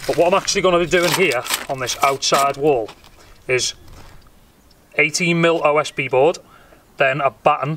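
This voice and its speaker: Over noticeable background noise, a man talks at a moderate pace with fairly even intonation, the sound dry with no echo. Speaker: DIY vlogger. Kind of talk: casual vlog chat. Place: garden. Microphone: phone near.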